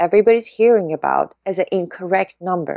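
In a dry sound with no echo and a quiet background, a woman speaks at a medium pitch with lively intonation. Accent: Persian. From Iran. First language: Persian. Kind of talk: interview. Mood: earnest, insistent. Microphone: webcam.

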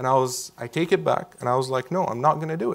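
Talking at a fairly quick pace, a man with an Arabic accent has a medium pitch and ordinary pitch variation. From Syria. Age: 20s. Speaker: Syrian refugee, university student. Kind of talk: onstage interview conversation. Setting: event with live audience. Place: hall.

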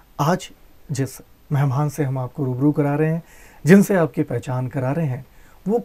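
Somewhat breathy, with a dark, mellow tone, a man talks at a fairly slow pace with ordinary pitch variation. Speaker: interviewer. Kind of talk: interview host introduction. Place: studio. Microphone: lapel.

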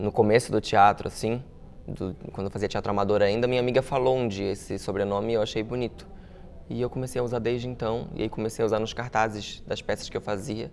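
Over light background noise, a man talks fairly quickly at a fairly low pitch with monotone, flat intonation. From Santa Catarina coast (Itajaí), Brazil; Santa Catarina, Brazil. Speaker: actor and comedian; actor, comedian. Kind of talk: interview. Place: studio.

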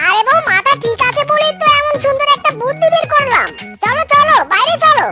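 A cartoonish character voice with a bright, sharp tone moves at a fairly quick pace, its intonation lively, while faint music plays in the background.

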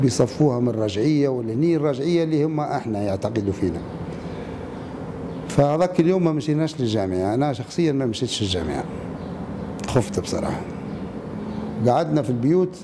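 With noticeable background noise behind him, a man talks at a moderate pace and medium pitch, his intonation lively and his speech broken by long, frequent pauses. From Libya. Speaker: former political prisoner. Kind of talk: interview answer. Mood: somber, reflective recollection. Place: hall.

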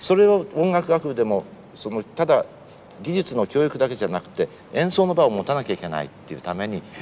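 The voice moves at a fairly quick pace with very wide pitch swings and big swings in loudness, over light background noise. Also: man. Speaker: interviewee. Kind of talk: interview answer. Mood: animated, friendly. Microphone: lapel.

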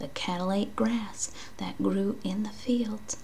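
Over light background noise, a soft-spoken woman with a gentle tone talks at a fairly slow pace. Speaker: read-aloud host. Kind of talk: reading a children's story aloud. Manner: soft, gentle ASMR reading voice. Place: home room. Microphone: webcam.

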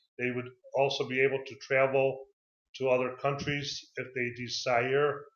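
A man with an American accent speaks at a very slow pace in a flat monotone, against a quiet background with audible room echo. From Chicago, USA. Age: 50s. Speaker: English teacher. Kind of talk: self-introduction video for a CV. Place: home room. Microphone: webcam.

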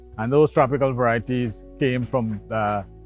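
A man at a moderate pace with fairly even intonation, dry sound with no echo, and faint music in the background. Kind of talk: interview answer. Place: farm machine. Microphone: lapel.

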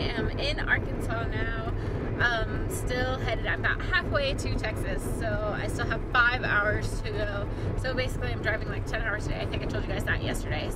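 With music in the background, the speech moves at a moderate pace in a dry sound with no echo. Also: woman. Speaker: vlogger on a road trip. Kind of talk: casual vlog chat. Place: car. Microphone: phone near.

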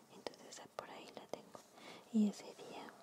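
A woman is whispering. Noticeable background noise is present. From Mexico. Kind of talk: ASMR sketchbook tour. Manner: whispered.

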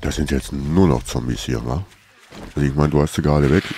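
There is noticeable background noise as a man with a very deep, low pitch talks at a moderate pace with ordinary pitch variation. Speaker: gaming YouTuber. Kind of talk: casual let's play commentary.

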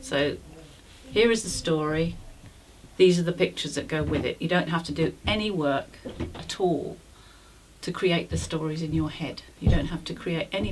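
With a very deep, low pitch, a woman speaks at a moderate pace with ordinary pitch variation and long, frequent pauses over noticeable background noise. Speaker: storyteller. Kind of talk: interview answer.

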